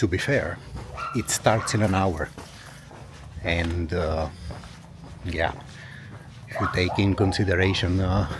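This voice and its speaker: A soft-spoken man with a very deep, low pitch, fairly slow and fairly even in intonation, with long, frequent pauses. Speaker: travel vlogger. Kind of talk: walking travel vlog. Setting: outdoors.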